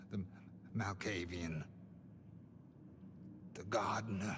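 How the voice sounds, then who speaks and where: A put-on character voice from a man, very deep and low, at a fairly slow pace, with clear background noise. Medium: video game. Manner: anxious, strained.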